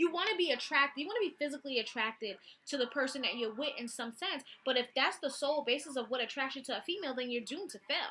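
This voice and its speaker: A woman speaks in a high, bright, sharp voice, raised and projected, at a very fast pace with lively intonation and an animated tone. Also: hardly any pauses. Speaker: vlogger. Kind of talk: casual storytelling vlog.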